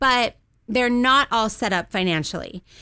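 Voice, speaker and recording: With a Californian accent, a woman talks in a bright, sharp tone and fairly even intonation over a very clean recording with a silent background. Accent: Californian American. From Southern California. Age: 30s. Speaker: financial advisor. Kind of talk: radio interview.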